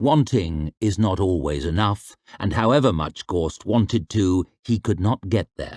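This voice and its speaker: A man with an unremarkable speaking voice, fairly low pitch and lively intonation, in a dry, close sound with no echo and a quiet background. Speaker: audiobook narrator. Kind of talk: audiobook fantasy fiction reading.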